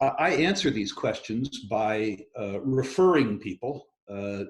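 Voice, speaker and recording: A man with a somewhat breathy, medium-pitched voice speaks with ordinary pitch variation. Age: 60s. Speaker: resource investment executive. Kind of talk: interview.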